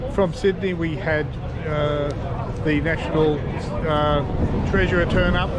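A man speaks at a fairly slow pace. Loud background noise runs behind him. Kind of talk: interview answer. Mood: warm, commemorative. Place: street. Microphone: phone near.

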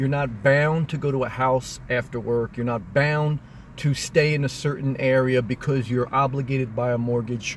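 The man talks at a moderate pace with fairly even intonation. His voice sounds dry with no echo, and there is light background noise. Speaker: vlogger living in his car. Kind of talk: casual vlog chat. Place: car. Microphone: phone near.

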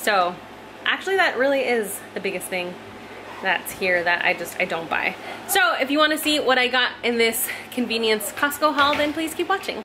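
A woman's high-pitched voice comes through noticeable background noise. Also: moderate pace. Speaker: home vlogger. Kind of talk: casual vlog chat. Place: home room.

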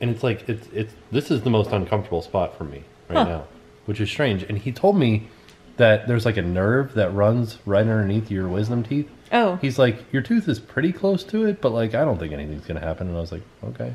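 With a tired tone and a somewhat breathy sound, a man speaks at a fairly low pitch with lively intonation. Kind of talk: casual vlog chat. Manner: tired, numb-mouthed recovering speech. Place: home room.

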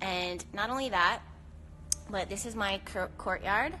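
A woman is speaking. Noticeable background noise runs behind her. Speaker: astrology live host. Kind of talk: casual live-stream chat. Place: garden. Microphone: phone near.

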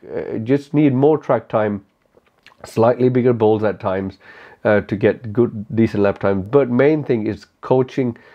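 A man with a non-native accent at a fairly slow pace, ordinary pitch variation, and a quiet background. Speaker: motorcycle track day rider and YouTuber. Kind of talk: casual Q&A talk to camera. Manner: relaxed, laid back. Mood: relaxed, candid, light humor. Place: home room.

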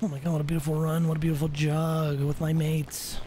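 A put-on character voice, gravelly and middle in pitch, at a very fast pace with clear background noise. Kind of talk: british laddish phrasing, 'mates'.

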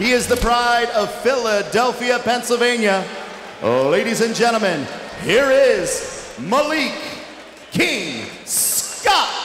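The man's voice is extremely high in pitch. There is audible room echo and light background noise. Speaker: professional ring announcer. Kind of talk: boxing ring announcement. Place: stadium. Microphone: handheld.

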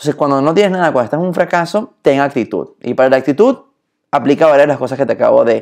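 The background here is quiet. This man's voice shows ordinary pitch variation. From born in Germany, speaks from Latin America. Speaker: leadership speaker; speaker. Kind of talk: live stream talk on leadership. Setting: Instagram live stream. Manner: animated. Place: home room. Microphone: phone near.

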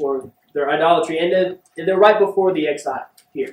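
A man speaks with a high pitch. Audible room echo is present. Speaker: visiting preacher. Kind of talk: sermon. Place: church. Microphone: podium.

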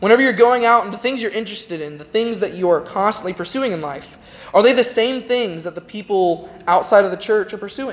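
A man with an American accent talks at a fairly quick pace. His pitch is high, with ordinary variation. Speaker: youth preacher. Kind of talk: sermon. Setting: church. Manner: informal. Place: church.

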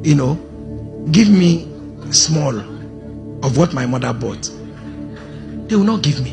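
A man's fairly slow speech over clear music in the background. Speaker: preacher. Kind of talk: sermon. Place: church. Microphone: handheld.

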